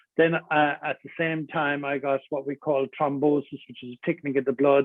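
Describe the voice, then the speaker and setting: Pitched fairly high, a man speaks with big swings in loudness. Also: moderate pace. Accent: Cork. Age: 60s. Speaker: adventurer and motivational speaker. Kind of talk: interview conversation. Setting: radio studio. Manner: animated.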